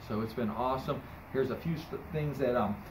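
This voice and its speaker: With noticeable background noise behind him, a man speaks at a very fast pace. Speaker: auction business owner. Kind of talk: casual vlog chat. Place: garage.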